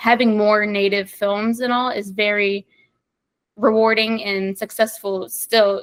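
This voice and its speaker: A woman with an American accent speaks in a fairly high voice, her intonation flat and monotone. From US South, Mississippi. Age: 20s. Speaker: student filmmaker. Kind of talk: interview.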